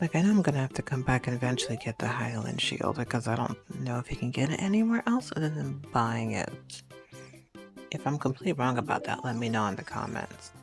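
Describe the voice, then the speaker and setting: A soft-spoken, calm voice moves at a moderate pace with music in the background. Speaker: gamer. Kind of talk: gameplay commentary.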